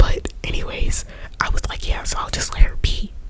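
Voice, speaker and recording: A woman whispers at a moderate pace, with noticeable background noise behind her. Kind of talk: ASMR whispered storytime ramble. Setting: quiet room with air conditioner hum in the background. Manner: whispered, rambling, casual chatty.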